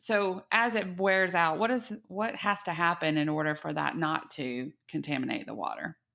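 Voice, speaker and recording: A woman talks at a moderate pace with hardly any pauses, her pitch fairly low and her tone bright and sharp. She has a slight Texas accent, and the recording is very clean with a silent background. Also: lively intonation. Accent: Texas twang, slight. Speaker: podcast host. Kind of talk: interview.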